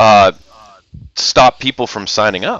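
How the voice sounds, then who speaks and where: Speaking at a fairly slow pace, a man has a medium pitch. His pitch variation is ordinary. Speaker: esports commentator. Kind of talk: live game commentary. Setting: livestream. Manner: loud.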